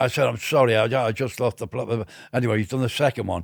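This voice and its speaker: A man with a Liverpool accent, medium pitch and a fairly quick pace, on a very clean recording with a silent background. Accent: Liverpool (Scouse). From Liverpool, northern England. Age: 70s. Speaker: music industry veteran. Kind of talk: interview storytelling. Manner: animated; halting.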